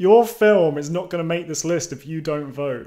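With a British accent, a man talks at a moderate pace. His pitch is fairly high, with ordinary variation. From United Kingdom. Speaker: YouTube channel creator. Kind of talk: casual vlog monologue. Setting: home recording with microphone.

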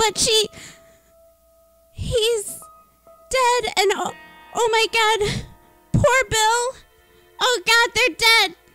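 An extremely high, put-on character voice at a very slow pace, with long, frequent pauses and faint music in the background. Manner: panicked, distraught.

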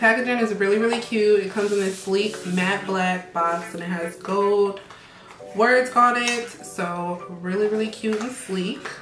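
A woman at a fairly slow pace, with ordinary pitch variation and faint music in the background. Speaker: style vlogger. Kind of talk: casual vlog chat.

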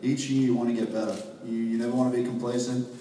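The man talks at a fairly quick pace. There is audible room echo and light background noise. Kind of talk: interview answer. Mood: earnest, determined. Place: hall. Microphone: camera far.

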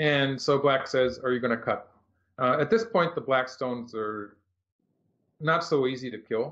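Long, frequent pauses break up a man's speech at a moderate pace. His pitch is medium with ordinary variation, over a quiet background. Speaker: professional go player; go professional commentator. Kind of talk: game commentary. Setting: live stream. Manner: halting. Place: home room. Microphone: video call.

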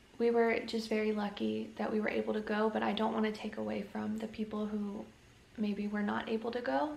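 A woman talks fairly quickly, with audible room echo around her voice. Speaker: family vlogger. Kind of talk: casual vlog chat. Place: home room. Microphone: phone near.

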